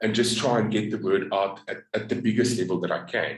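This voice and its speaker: A man speaks in an American accent, his voice somewhat breathy. The room gives off an audible echo. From South Africa. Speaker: network marketer. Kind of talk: business pitch and story. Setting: group video call.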